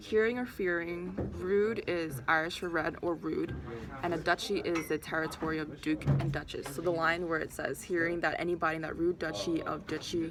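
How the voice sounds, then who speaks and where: Fairly quick speech from a woman with a fairly low pitch and ordinary pitch variation, over noticeable background noise. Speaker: college student. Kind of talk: practice oral presentation. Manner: fast, stuttering.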